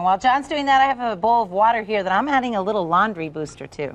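Upbeat in tone, the voice rushes at a very fast pace with lively intonation. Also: woman. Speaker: infomercial host. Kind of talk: infomercial demonstration. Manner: friendly, upbeat. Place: studio. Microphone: lapel.

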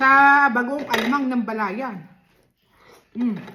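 A woman's voice, high in pitch. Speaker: mukbang vlogger. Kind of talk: eating vlog chat. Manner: casual, chatty.

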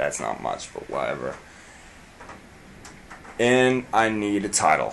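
A man's fairly slow drawl with ordinary pitch variation over light background noise. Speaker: vlogger. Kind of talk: casual vlog chat. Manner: sleepy, slack, sleep-deprived drawl. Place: home room. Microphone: webcam.

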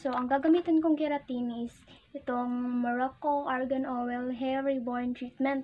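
A woman's high-pitched, monotone, flat delivery at a fairly slow pace, with light background noise. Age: young. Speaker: beauty vlogger. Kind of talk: casual hair product review to camera. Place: home room. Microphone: phone near.

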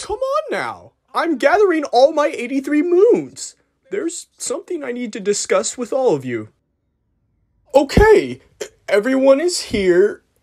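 Using a put-on character voice, a man talks at an extremely high pitch with long, frequent pauses. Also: moderate pace. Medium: dub. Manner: nervous, hesitant.

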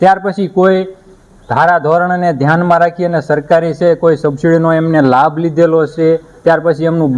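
Flat and monotone, a man speaks in a fairly high pitch. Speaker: farming channel host interviewing a livestock farmer. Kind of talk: interview on a dairy farm. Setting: on location at a dairy farm.

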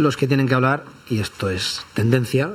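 Moderate pace from a man at medium pitch, with ordinary pitch variation

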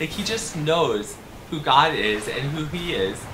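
A man's raised, projected voice over light background noise. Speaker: children's Bible storyteller. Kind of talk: children's story narration. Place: studio.

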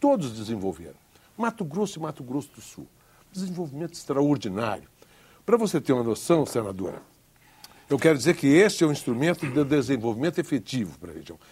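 Very fast but broken by long, frequent pauses, a man's fairly high voice with vocal fry swings very widely in pitch over light background noise. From Brazil, Pará. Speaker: federal deputy; politician guest. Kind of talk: televised political debate. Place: studio. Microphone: lapel.

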